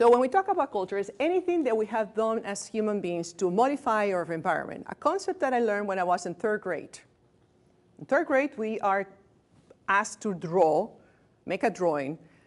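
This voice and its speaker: Talking at a fairly quick pace, a woman with a non-native accent uses a fairly high pitch and very wide pitch swings. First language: not English. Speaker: hospice staff trainer. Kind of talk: lecture. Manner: conversational.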